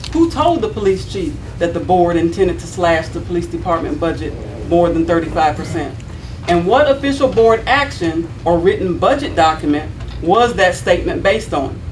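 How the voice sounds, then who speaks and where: Over noticeable background noise and audible room echo, a woman with a Southern US accent speaks with lively intonation. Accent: Southern American. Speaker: city board member (alderman). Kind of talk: prepared statement read at a public meeting. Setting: city board meeting. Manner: loud.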